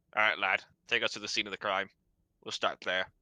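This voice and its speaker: A man speaks at a very fast pace in a put-on character voice. His pitch is fairly low, and the sound is dry and close with no echo. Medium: actual play. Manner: blunt, serious.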